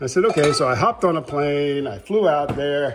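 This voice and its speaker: Lively intonation marks a man's fairly high-pitched speech, delivered at a moderate pace over noticeable background noise. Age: 60s. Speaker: hiker vlogger. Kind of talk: casual vlog monologue. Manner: halting, many fillers.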